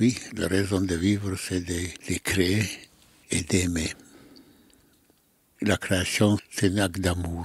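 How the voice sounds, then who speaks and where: Somewhat breathy and very deep, the man's low voice stays monotone and flat, moving at a very slow pace with long, frequent pauses. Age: 90s. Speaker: sculptor. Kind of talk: interview. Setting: artist's workshop. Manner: halting.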